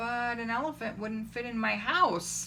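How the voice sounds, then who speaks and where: A female-sounding voice puts on a character voice at a fairly high pitch and a moderate pace, with clear background noise behind it. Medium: read story. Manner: fretful.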